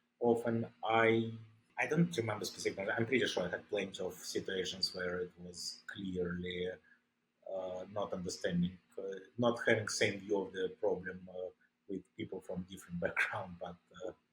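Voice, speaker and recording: With a Russian accent, a man talks at a moderate pace in a fairly low pitch and fairly even intonation. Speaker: ICU doctor. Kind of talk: interview. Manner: halting.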